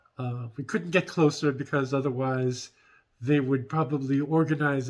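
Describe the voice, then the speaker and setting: A man at a moderate pace, medium pitch, in a put-on character voice. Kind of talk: in-character roleplay vlog. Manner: hesitant, rambling storytelling.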